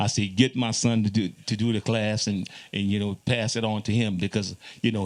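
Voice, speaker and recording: In a Louisiana accent, a man speaks at a fairly low pitch with fairly even intonation. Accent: Louisiana Creole English. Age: 60s. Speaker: zydeco musician. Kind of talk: panel conversation.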